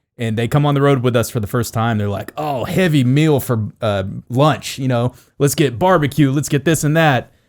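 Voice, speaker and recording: The clip features an unremarkable speaking voice at a moderate pace. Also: man, medium pitch for a man, ordinary pitch variation, very clean recording, silent background. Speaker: podcast co-host. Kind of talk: podcast conversation.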